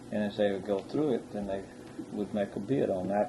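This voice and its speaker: A man with an American accent, a fairly low pitch and fairly even intonation. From Texas (Katy area). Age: 60s. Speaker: rice farmer. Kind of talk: oral history interview. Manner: halting.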